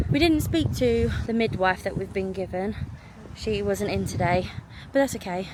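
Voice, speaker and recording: Noticeable background noise runs through the recording. Over it, a woman talks at a moderate tempo. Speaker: vlogger. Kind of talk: video diary vlog. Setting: outdoors by the seafront. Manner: quiet, hushed.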